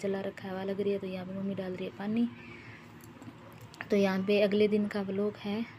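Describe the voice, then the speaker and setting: The speech has monotone, flat intonation at a moderate pace. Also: woman. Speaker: vlogger. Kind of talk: casual vlog narration.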